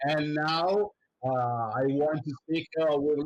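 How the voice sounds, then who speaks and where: The man talks fairly slowly. He has an Italian accent. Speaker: show host. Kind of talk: interview. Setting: live stream. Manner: halting.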